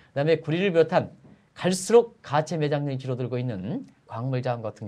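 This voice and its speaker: A man speaks at a very fast pace with a fairly high pitch and very wide pitch swings. His tone is dark, mellow and somewhat breathy. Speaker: economic analyst. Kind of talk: interview.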